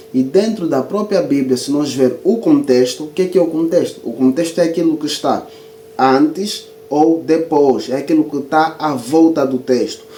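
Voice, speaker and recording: With audible room echo and noticeable background noise, a man speaks at a moderate pace, his fairly high pitch showing ordinary pitch variation. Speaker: Bible teacher and author. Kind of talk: video lecture.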